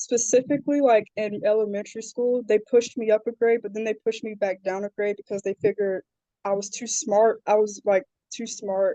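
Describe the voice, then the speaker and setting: In a Southern US accent, a woman speaks at a fairly quick pace and fairly high pitch, with a dark, mellow tone. Her intonation is fairly even, and the sound is dry and close with no echo. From South Carolina, Charleston area. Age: 20s. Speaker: social media community creator. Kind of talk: interview.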